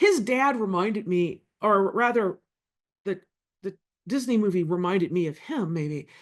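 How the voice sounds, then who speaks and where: Using lively intonation at a medium pitch, a woman with an American accent speaks at a moderate pace with long, frequent pauses. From US South, Louisville, Kentucky. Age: 50s. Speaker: political scientist. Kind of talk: keynote lecture.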